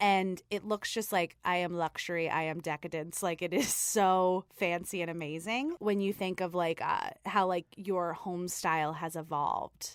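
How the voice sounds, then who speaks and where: A woman with an American accent speaks in a normal speaking voice, fairly low in pitch with fairly even intonation, at a moderate pace with hardly any pauses. The recording is very clean with a silent background, and the sound is dry and close with no echo. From New York, Staten Island. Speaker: podcast co-host. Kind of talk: casual chat.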